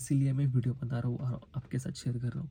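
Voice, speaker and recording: This man talks at a moderate pace in a flat, monotone way, his dark, mellow voice somewhat breathy. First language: Marathi (speaking Hindi). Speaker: vlogger. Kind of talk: emotional personal vlog. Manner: halting, hesitant.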